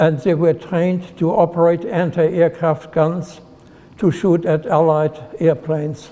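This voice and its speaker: Keeping a fairly slow pace, a man speaks in a high voice with fairly even intonation. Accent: German. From Germany, Heidelberg. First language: German. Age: 90s. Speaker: retired nuclear physicist. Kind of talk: personal life story talk.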